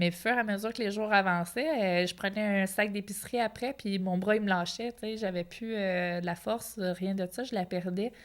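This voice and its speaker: With a Quebec accent, a woman speaks at a medium pitch and moderate pace, her intonation fairly even but her loudness swinging widely. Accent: Québécois French. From Quebec (Outaouais). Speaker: professional boxer. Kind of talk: interview. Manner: casual, colloquial.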